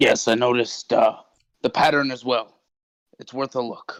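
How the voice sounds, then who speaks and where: A man's raspy, put-on character voice at medium pitch and a moderate pace, dry and close with no echo. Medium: actual play.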